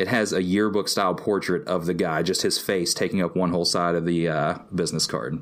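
A man's very deep, low voice with ordinary pitch variation, at a fairly quick pace, on a very clean recording with a silent background. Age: 20s. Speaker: comic artist. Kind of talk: casual chat.

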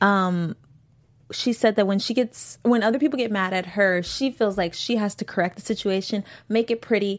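A woman with a plain, everyday voice speaks at a moderate pace and medium pitch with ordinary pitch variation, on a very clean recording with a silent background. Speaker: after-show host. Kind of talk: casual chat discussing a TV episode.

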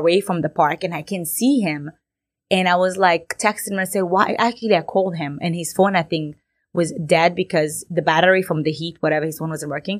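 A woman with an Egyptian accent talks at a fairly low pitch and a fairly quick pace, with ordinary pitch variation. The recording is very clean, with a silent background. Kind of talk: casual interview.

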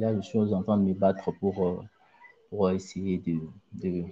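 A man with a Congolese accent speaks fairly slowly in a monotone, flat intonation. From DR Congo, Mbuji-Mayi. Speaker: aspiring footballer and former student. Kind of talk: interview. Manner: halting, with many repetitions.

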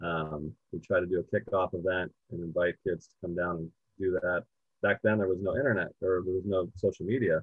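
Fairly quick delivery in an American accent with fairly even intonation. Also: man, very deep, low pitch for a man. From US West Coast, southern California. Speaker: golf organization founder. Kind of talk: interview.

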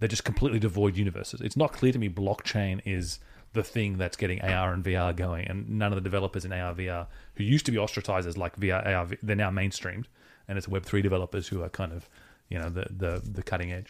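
In an Australian accent, a man speaks at a very fast pace with a very deep, low pitch and fairly even intonation, in a very clean recording with a silent background. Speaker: podcast co-host. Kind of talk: casual chat.

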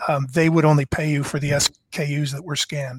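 The man's fairly high voice is somewhat breathy and monotone, with flat intonation and a dry, close sound with no echo. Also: very clean recording, silent background. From Canada, eastern Ontario. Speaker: former card company executive. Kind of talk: interview, storytelling.

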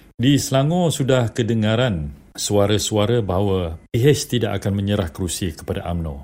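A man's normal speaking voice, fairly low in pitch, with lively intonation at a moderate pace and hardly any pauses, on a very clean recording with a silent background. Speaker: journalist, head of a news video unit. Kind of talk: political news analysis on radio.

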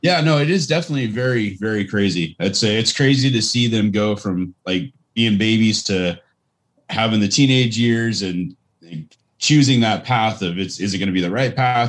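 A man with a plain, everyday voice talks at a fairly quick pace and fairly low pitch, with ordinary pitch variation. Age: 40s. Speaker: podcast co-host. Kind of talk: casual chat. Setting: video call.

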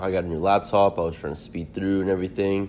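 This is a plain, everyday voice. The delivery moves at a fairly quick pace. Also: man. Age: 20s. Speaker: podcast host. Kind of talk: casual chat.

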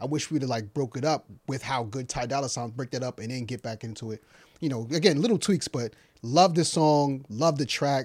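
This man has a normal speaking voice at a medium pitch with ordinary pitch variation. He talks at a fairly quick pace. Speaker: podcast host. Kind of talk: casual chat.

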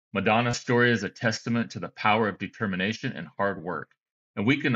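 At a fairly quick pace, a man talks at medium pitch in a plain, everyday voice. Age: 50s. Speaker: podcast host. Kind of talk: scripted intro; interview.

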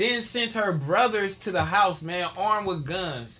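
A man speaks in a high, raised and projected voice with a bright, sharp tone. His intonation is lively and his pace fairly slow. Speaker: podcast host. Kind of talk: casual chat. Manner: animated.

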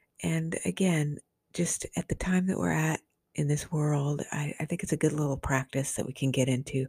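Her voice very deep and low, a woman speaks somewhat breathily at a moderate pace with ordinary pitch variation, the sound dry and close with no echo. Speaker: radio host, author and past life therapist. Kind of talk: podcast intro and outro, casual talk. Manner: warm, caring, friendly.

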